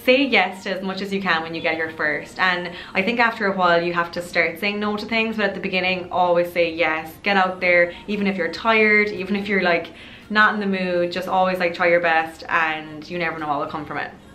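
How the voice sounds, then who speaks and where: Speaking at a fairly quick pace with fairly even intonation, a woman with an Irish accent and medium pitch is heard amid audible room echo and noticeable background noise. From Ireland. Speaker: lifestyle youtuber. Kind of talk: casual vlog advice talk. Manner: chatty, many fillers.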